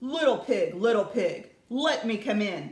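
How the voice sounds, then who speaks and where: Putting on a gruff, growling character voice, a man speaks fairly slowly at an extremely high pitch. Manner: menacing, coaxing.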